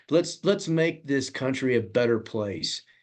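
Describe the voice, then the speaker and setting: A man of medium pitch talks in a normal speaking voice. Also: quiet background. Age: 60s. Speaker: congressional candidate. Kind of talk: interview.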